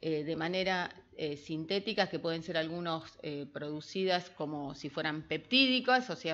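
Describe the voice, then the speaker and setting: A woman talks at a moderate speed with a quiet background behind her. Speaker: researcher, molecular biologist. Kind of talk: lecture.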